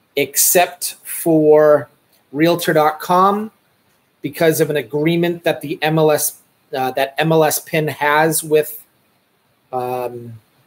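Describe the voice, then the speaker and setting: In a Boston accent, the voice moves at a very slow pace with fairly even intonation and long, frequent pauses. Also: man, fairly high pitch for a man. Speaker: real estate broker. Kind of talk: casual vlog talk to camera. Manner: halting, many fillers.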